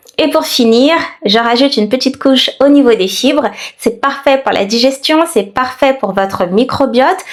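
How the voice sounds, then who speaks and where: A woman's high-pitched voice at a moderate pace with very even loudness and ordinary pitch variation, with noticeable background noise. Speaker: naturopath, health vlogger. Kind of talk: tutorial.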